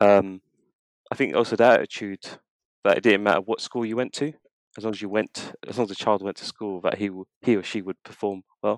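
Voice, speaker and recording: A fairly low-pitched man at a fairly quick pace, broken by long, frequent pauses, with fairly even intonation, a dry, close sound with no echo and a very clean recording on a silent background. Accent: London. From North London, Tottenham. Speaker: marketing manager. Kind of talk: interview.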